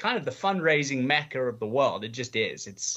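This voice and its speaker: The background is quiet as a man speaks at a moderate pace. His tone is bright and sharp. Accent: English. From England. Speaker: charity auctioneer and gala host. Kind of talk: podcast interview. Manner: energetic.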